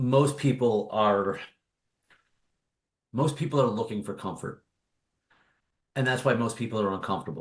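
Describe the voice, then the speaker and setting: A man's medium-pitched, somewhat breathy voice at a moderate pace, with ordinary pitch variation and long, frequent pauses. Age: 40s. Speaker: author and obstacle course racer. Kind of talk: podcast interview.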